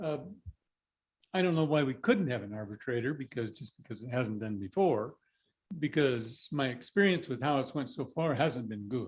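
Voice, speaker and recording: A man speaks at a medium pitch and a moderate pace, his voice somewhat breathy. His intonation is lively, and the recording is very clean with a silent background. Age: 70s. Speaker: property owner speaking at public comment. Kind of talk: public comment at county board meeting.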